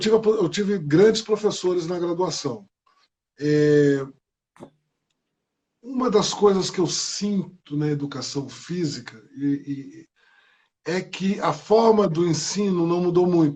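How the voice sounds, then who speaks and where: A man speaks very slowly, with long, frequent pauses. His voice is high in pitch, with ordinary pitch variation. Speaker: former basketball player. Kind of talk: live stream Q&A. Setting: Instagram live video call.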